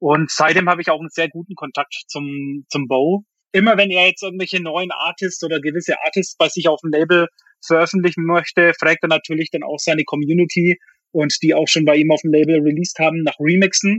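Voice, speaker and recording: The speaking pace is fairly quick. Intonation rises and falls only a little, staying fairly even. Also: man, high pitch for a man. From Bavaria, Germany. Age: 30s. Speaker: music producer and DJ. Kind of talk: interview.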